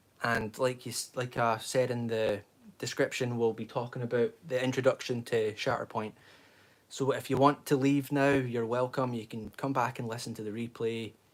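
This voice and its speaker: A man with a Scottish accent and monotone, flat intonation. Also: medium pitch for a man, moderate pace. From Scotland. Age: 20s. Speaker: livestreamer, fan channel host. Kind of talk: casual livestream chat. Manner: rambling, conversational.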